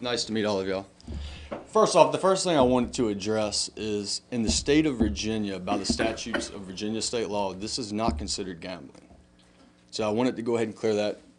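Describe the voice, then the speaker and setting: Intonation stays lively throughout. The man's delivery moves at a fairly quick pace. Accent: Southern US. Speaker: business owner speaking at town council. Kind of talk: public comment at council meeting. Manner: halting.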